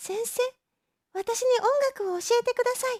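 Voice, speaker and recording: A squeaky, extremely high-pitched put-on character voice at a moderate pace. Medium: read story. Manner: serious, insistent.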